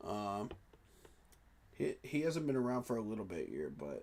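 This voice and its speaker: This man has a normal speaking voice, and his lively intonation carries along at a moderate pace. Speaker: sports reaction streamer. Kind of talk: casual live-stream commentary.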